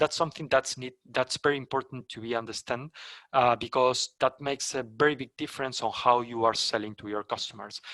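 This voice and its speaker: At a fairly quick pace, a man with a Spanish accent talks at medium pitch in a bright, sharp tone with fairly even intonation, the sound dry and close with no echo against a quiet background. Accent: non-native English, Spanish. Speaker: company trainer for sales partners. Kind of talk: webinar presentation. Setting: online webinar. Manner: halting, many fillers and restarts.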